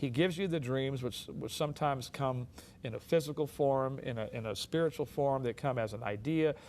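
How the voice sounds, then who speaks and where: A man with an American accent talks at a fairly quick pace in a medium pitch, with ordinary pitch variation. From US West Coast, South Central Los Angeles. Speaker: drummer and minister, author. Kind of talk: talk show interview.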